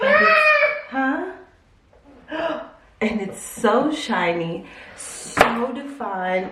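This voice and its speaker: With audible room echo and noticeable background noise, a woman speaks with lively intonation. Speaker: hair and lifestyle vlogger. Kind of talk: casual chatty vlog. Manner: animated.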